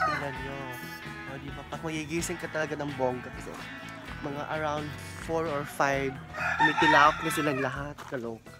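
Loud music plays in the background as a woman speaks at a moderate pace, her voice dry with no echo. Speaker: vlogger. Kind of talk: casual vlog chat. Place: garden. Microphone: phone near.

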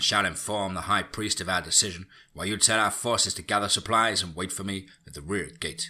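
A man puts on a character voice with a low pitch, a bright, sharp tone and a slightly husky edge. His pace is fairly quick, with ordinary pitch variation.

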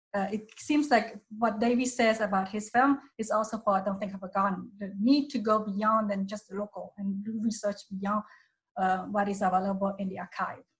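A somewhat breathy woman's voice at a moderate pace, with fairly even intonation and a quiet background. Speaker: documentary producer and anthropologist. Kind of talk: panel discussion. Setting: video call. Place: home room. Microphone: video call.

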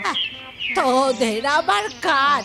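Putting on a character voice, a woman speaks at a high pitch with lively intonation over clear background noise. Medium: comedy sketch. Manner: scolding, insulting.

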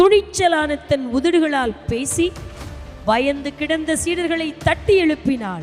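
Over music in the background, a woman talks with an extremely high pitch and ordinary variation in it. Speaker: Bible college staff narrator.

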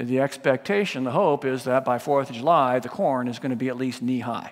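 A man's fairly quick speech plays out with a quiet background behind it. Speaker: pastor. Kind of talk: sermon. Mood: warm, lightly humorous. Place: church.

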